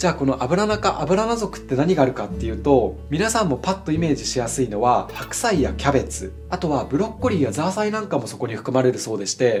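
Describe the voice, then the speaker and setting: Over music in the background, a man talks at a very fast pace with hardly any pauses. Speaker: ikebana artist. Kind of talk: flower arranging tutorial talk to camera. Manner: friendly, explanatory.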